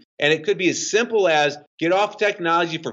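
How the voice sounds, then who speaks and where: A loud man with a high pitch. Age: 50s. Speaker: fitness coach and author. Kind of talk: podcast interview. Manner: fast.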